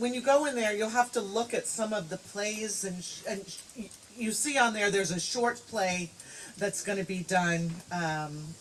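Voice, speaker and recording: Medium pitch and ordinary pitch variation from a woman at a moderate pace, over noticeable background noise. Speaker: friend giving a eulogy. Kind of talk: eulogy speech. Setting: memorial gathering at a home. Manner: loud.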